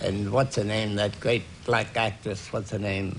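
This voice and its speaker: Noticeable background noise surrounds a man who speaks at a fairly low pitch. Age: 80s+. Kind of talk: talk show interview answer.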